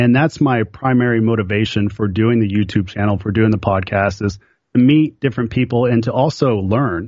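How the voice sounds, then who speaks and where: A man with an ordinary speaking voice and an American accent talks fairly quickly at a medium pitch, his loudness very even and his pitch varying in an ordinary way. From Oklahoma. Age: 30s. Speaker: pinball player and YouTuber. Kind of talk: casual chat.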